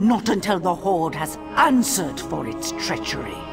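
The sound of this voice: Using a put-on character voice, a woman speaks fairly slowly in a fairly low pitch with vocal fry and big pitch swings, as clear music plays in the background.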